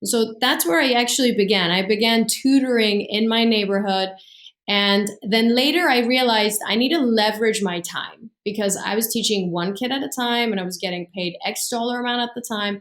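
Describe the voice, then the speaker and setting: A woman's fairly high voice in a Persian accent, at a moderate pace with ordinary pitch variation. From Iran. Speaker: business coach and entrepreneur. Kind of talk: interview.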